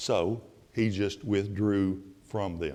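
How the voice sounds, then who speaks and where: A man speaks in a fairly low pitch with an Alabama accent. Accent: Southern US (Alabama). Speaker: Bible class teacher. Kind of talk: Bible class lecture. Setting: church classroom with audience. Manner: louder than usual.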